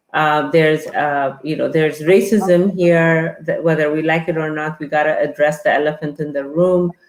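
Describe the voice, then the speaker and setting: A woman with an Ethiopian accent, very deep and low in pitch, flat and monotone, at a moderate pace with hardly any pauses. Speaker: guest. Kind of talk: interview conversation. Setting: live online stream.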